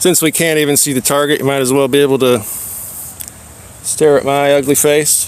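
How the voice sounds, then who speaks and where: A man speaks at a fairly quick pace and a fairly high pitch, his loudness very even and his intonation fairly even. Long, frequent pauses break his speech over noticeable background noise. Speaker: gun channel livestreamer. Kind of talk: casual live stream chat. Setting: outdoor shooting range. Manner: loud, talking over earplugs.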